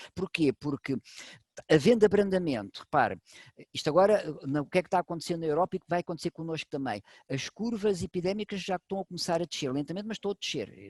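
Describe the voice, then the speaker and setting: A man talks at a very fast pace in a high pitch with lively intonation. The sound is dry and close, with no echo. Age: 60s. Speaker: medical doctor. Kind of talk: expert talk to online audience. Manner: animated.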